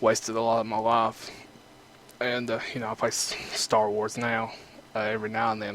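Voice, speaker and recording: A man with an Eastern Kentucky accent speaks at a moderate pace and medium pitch, with monotone, flat intonation, long, frequent pauses and noticeable background noise. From Eastern Kentucky, rural US South. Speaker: gaming YouTuber. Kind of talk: gameplay commentary. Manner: casual, filler-heavy.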